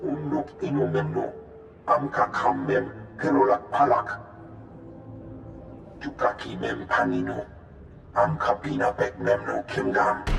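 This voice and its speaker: A man talks in a put-on character voice at a moderate pace, with long, frequent pauses. There is clear echo and loud background noise. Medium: video game.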